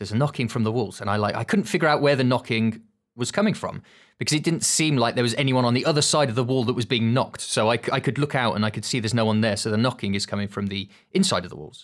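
Very fast and at a medium pitch, a man talks with ordinary pitch variation on a very clean recording with a silent background. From Birmingham, England. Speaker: animator and content creator. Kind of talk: casual chat.

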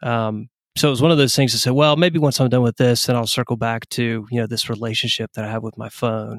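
A man with an American accent, medium pitch, fairly even intonation, a very fast pace with hardly any pauses, and a dry, close sound with no echo. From East Tennessee, US South. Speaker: tech entrepreneur. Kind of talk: casual interview chat. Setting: remote call.

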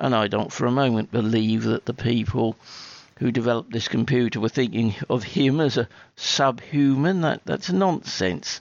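A man with a normal speaking voice and medium pitch talks at a moderate pace, with lively intonation and very even loudness. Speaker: listener sending voice message. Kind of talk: recorded listener message.

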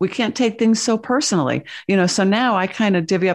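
The background is quiet as a woman speaks in an ordinary speaking voice at medium pitch. Her intonation is lively and her pace moderate. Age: 50s. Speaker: spiritual channeler and author. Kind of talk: interview conversation.

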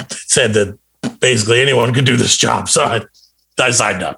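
Putting on a raspy character voice in a Scottish accent, a man speaks at medium pitch and a moderate pace. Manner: pretend.

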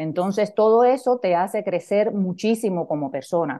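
Against a quiet background, a woman with a Cuban accent speaks at a moderate pace and medium pitch, her tone dark and mellow, her pitch varying in an ordinary way. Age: 50s. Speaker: leadership coach. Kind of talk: interview conversation.

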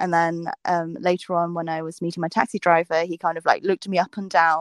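Over a quiet background, a woman with a southern English accent speaks very fast at a fairly low pitch, the sound dry and close with no echo. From southern England (South Coast). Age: 20s. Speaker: food and travel vlogger. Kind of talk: casual interview chat.

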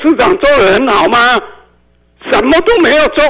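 This man talks at an extremely high pitch. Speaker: radio call-in listener. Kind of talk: heated debate. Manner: animated.

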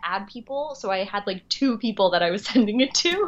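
With a normal speaking voice and an American accent, a woman speaks at a moderate pace at a fairly high pitch, her intonation lively against a quiet background. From US Northeast, Long Island. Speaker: actress and writer. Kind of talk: casual chat.

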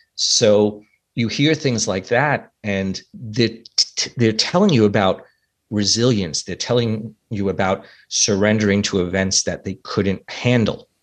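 A man with an American accent and a plain, everyday voice talks at a fairly slow pace and fairly low pitch with ordinary pitch variation against a quiet background. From US Northeast, New York City. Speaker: life coach and author. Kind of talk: interview conversation.

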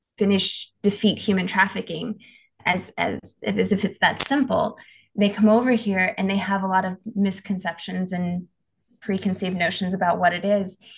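With an American accent, a woman talks at a moderate pace in a medium, somewhat breathy voice, her intonation fairly even. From Tennessee, US. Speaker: missionary and nonprofit worker. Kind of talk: casual interview.

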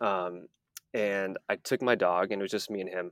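With an American accent, a man talks at a moderate pace in a fairly low pitch with fairly even intonation, the recording very clean and silent behind him, dry and close with no echo. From Texas. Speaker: rock climber, accident survivor. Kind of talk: interview, personal story.

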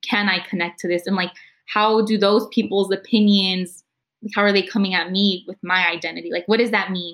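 With an American accent, a woman speaks at a moderate pace and medium pitch in an unremarkable speaking voice. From East San Jose, California. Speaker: college student. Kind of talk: panel conversation.

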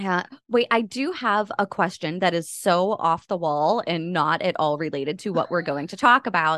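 Over a quiet background, a woman with a plain, everyday voice talks at a moderate pace, her pitch fairly low with ordinary pitch variation. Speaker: podcast host. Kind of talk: casual interview chat.

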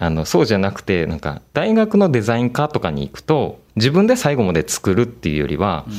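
Very wide pitch swings from a man at a medium pitch and a moderate pace. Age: 20s. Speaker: art project leader. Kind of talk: interview. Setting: video call.

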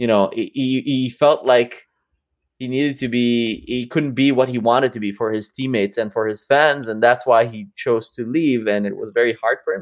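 In a quiet background, a man with an ordinary speaking voice talks at medium pitch and a moderate pace with fairly even intonation. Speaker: podcast co-host. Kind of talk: casual chat. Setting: video call.

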